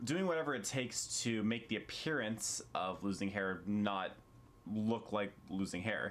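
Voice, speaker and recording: A man talks in an unremarkable speaking voice at a fairly low pitch, with ordinary pitch variation. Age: 20s. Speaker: YouTuber. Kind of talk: vlog monologue. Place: home room. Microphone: camera far.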